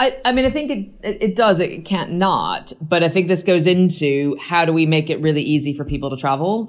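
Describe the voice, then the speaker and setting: With an American accent, a woman speaks at a fairly quick pace with hardly any pauses, her pitch fairly low and her intonation lively. It is an ordinary speaking voice. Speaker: rail project chief executive. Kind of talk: interview.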